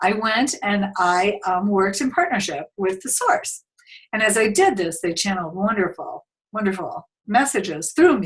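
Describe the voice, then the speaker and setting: Somewhat breathy, the voice moves at a moderate pace with lively intonation. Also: woman. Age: 60s. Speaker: spiritual minister and channel. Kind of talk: webinar presentation with screen share. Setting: online webinar on a computer. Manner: casual, hesitant with fillers.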